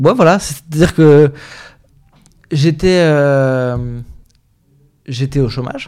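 A man with a fairly high pitch and ordinary pitch variation, at a very slow pace with long, frequent pauses. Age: 30s. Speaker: communication agency founder. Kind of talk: interview. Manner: hesitant, many fillers.

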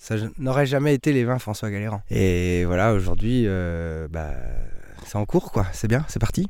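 Here a man with an unremarkable speaking voice, fairly low in pitch, speaks at a fairly slow pace with lively intonation. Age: 30s. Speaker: winemaker. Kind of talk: casual interview. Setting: outdoors in vineyard.

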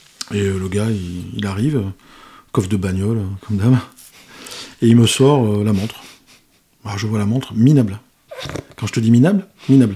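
This man has a fairly low, dark and mellow voice that is somewhat breathy, with ordinary pitch variation. He moves at a moderate pace, broken by long, frequent pauses. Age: 50s. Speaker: watch collector, business owner. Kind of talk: casual chat.

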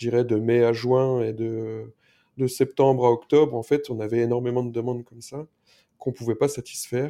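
Against a quiet background, a man with a dark, mellow tone talks at a moderate pace in a medium pitch with monotone, flat intonation. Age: 40s. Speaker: packaging startup founder. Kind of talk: interview. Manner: halting.

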